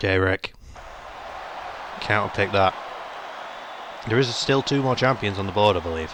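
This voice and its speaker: With a British accent and an animated tone, the speaker moves at a moderate pace with ordinary pitch variation and long, frequent pauses, over noticeable background noise. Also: man, fairly low pitch for a man. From Britain. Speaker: gaming YouTuber. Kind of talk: let's play commentary. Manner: casual, animated.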